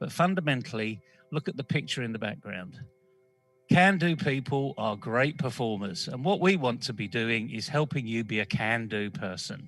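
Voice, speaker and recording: With music playing behind him, a man speaks at a moderate pace and medium pitch, his voice making very wide pitch swings. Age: 60s. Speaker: employer and course presenter. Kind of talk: panel discussion. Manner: animated.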